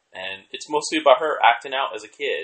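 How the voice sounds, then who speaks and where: A man talks at a moderate pace. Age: 30s. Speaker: podcast co-host. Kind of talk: casual chat.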